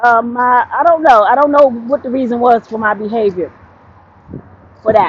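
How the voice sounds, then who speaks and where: A woman talks loudly at a moderate pace, her high pitch showing ordinary variation. Long, frequent pauses break up her speech. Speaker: vlogger. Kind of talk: casual vlog monologue. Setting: outdoors, walking on street.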